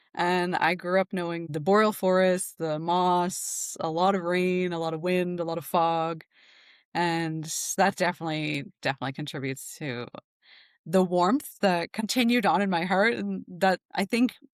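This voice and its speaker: A woman's plain, everyday voice, fairly low in pitch with ordinary pitch variation, at a moderate pace, in a very clean recording with a silent background and a dry, close sound with no echo. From Newfoundland, Canada. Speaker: nervous system specialist. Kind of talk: podcast interview. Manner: casual, many fillers.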